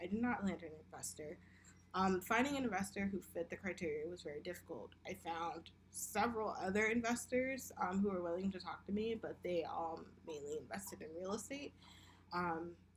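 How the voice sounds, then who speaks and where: This woman has a medium pitch, lively intonation and vocal fry, and she talks at a moderate pace. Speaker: business student. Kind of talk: class presentation. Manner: hesitant, many fillers.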